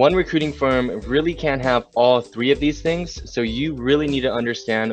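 A man at a fairly quick pace, dry sound with no echo, faint music in the background. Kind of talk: advice talk to camera. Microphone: webcam.

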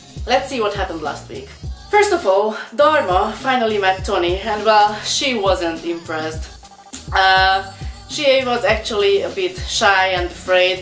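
Against audible room echo and faint background music, a woman talks at a fairly slow pace. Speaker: pet vlogger. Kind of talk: casual vlog chat. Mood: cheerful, relaxed. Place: home room. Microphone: camera far.

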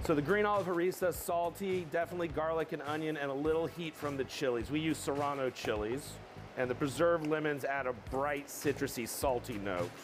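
A man speaks at a fairly quick pace with ordinary pitch variation while noticeable background noise plays. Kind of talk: cooking tutorial. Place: kitchen.

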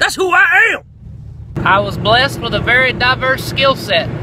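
Against noticeable background noise, a man with an American accent makes very wide pitch swings in a dry sound with no echo. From American, southern. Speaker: radio personality audition, welder, comedian. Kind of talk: radio audition, comedic monologue. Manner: comedic, quirky, energetic. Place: car. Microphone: phone near.

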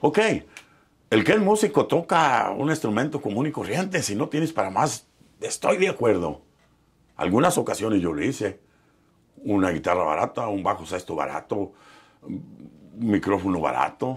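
A man talks in a fairly low pitch with very wide pitch swings. He takes long, frequent pauses. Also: moderate pace. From Mexico, Michoacán and Nayarit; Mexico. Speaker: professional musician; interviewee. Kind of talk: interview storytelling. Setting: studio. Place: studio. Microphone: lapel.

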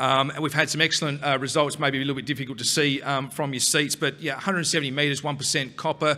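A man speaks at a very fast pace in a bright, sharp tone over a quiet background. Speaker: presenter. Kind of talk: conference presentation. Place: hall. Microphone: podium.

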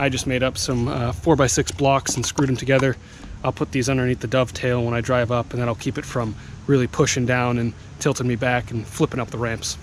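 Against light background noise, a man speaks at a fairly quick pace with fairly even intonation, and the sound is dry with no echo. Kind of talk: casual vlog chat. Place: open country. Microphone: phone near.

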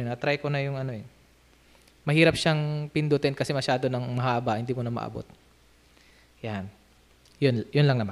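A man with a fairly high voice talks fairly quickly, his pitch varying in a normal way. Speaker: music vlogger; hobby musician vlogger. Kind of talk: casual instrument demo vlog. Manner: halting, many fillers. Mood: relaxed, friendly. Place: home room. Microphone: studio mic.

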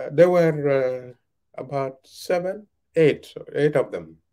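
A man speaks very slowly in a dark, mellow tone. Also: quiet background. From South Sudan, Twic East (Jonglei); South Sudan. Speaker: veteran journalist and author. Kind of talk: interview. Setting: video call. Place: home room. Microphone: video call.

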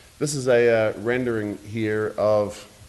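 A man talks with a slight New Zealand accent. His pitch is medium and his intonation fairly even. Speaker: real estate developer. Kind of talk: public presentation at a zoning hearing. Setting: city commission meeting. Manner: hesitant, many fillers.

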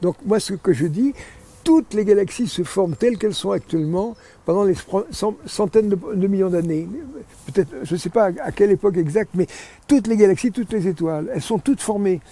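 A man with a high pitch speaks at a fairly quick pace, broken by long, frequent pauses. The sound is dry with no echo. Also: ordinary pitch variation. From France. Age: 80s+. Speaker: physicist and astrophysicist; interviewee. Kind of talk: interview answer. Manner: energetic. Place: garden. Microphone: lapel.

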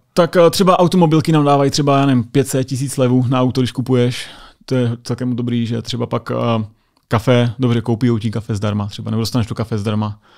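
Over a quiet background, a man at a medium pitch talks at a very fast pace with ordinary pitch variation. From Czechia. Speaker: US Air Force sergeant; podcast guest. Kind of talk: casual chat. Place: studio. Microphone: studio mic.

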